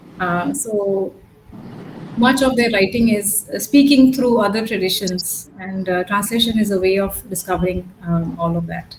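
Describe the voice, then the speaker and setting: A woman with a Gujarati accent talks at a moderate pace in a medium pitch with ordinary pitch variation. Noticeable background noise runs underneath. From Pondicherry, south India. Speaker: academic speaker. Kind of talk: academic Q&A discussion. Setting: video call. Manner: hesitant, many fillers. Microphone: network issues.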